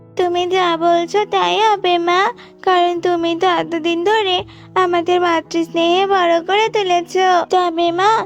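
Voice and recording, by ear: Over clear background music, a woman uses a cartoonish character voice at an extremely high pitch, speaking at a fairly slow pace with monotone, flat intonation and very even loudness.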